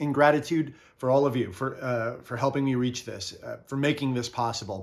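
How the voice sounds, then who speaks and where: A man talking at a fairly quick pace. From US East Coast, New Jersey. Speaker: video game and toy collector YouTuber. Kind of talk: casual vlog monologue. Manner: hesitant, many fillers.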